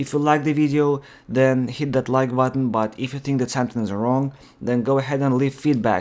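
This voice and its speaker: Speaking with a non-native accent, a man keeps a medium pitch and fairly even intonation at a fairly quick pace. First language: not English. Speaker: gaming YouTuber. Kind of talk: gameplay commentary. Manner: halting, many fillers; unscripted.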